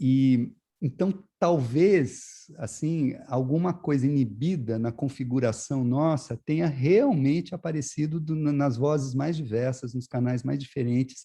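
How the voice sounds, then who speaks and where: A man with a fairly high pitch speaks at a fairly slow pace, somewhat breathy, with a dark, mellow tone. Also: ordinary pitch variation, quiet background. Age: 60s. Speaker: visual artist. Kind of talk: interview. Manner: halting, many repetitions and fillers.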